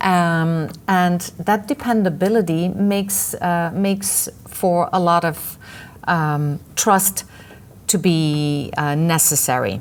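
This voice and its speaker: A woman with a Dutch accent speaks at a fairly low pitch and very slow pace. Her loudness stays very even, with audible room echo. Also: ordinary pitch variation. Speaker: webinar presenter, trainer. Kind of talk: lecture.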